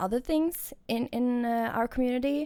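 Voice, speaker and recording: A woman with a non-native accent speaks at a fairly slow pace. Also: very clean recording, silent background. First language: not English. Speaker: gaming streamer. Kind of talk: casual commentary over gameplay. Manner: hesitant, with frequent fillers and restarts.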